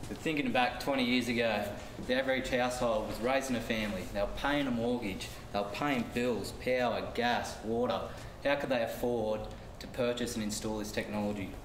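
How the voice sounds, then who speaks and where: A man at a fairly quick pace with fairly even intonation, audible room echo and light background noise. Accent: Australian. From Australia. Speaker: construction project manager presenter; presenter. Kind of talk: business presentation. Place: classroom. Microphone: camera far.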